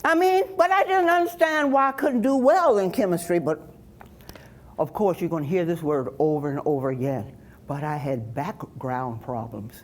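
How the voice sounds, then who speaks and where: Very wide pitch swings mark speech that proceeds at a moderate tempo. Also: woman. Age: 70s. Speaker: storyteller. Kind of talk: personal talk to audience.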